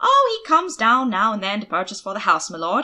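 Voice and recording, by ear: Using a put-on character voice, a woman talks at a fairly quick pace and a medium pitch, with a bright, sharp tone and very wide pitch swings.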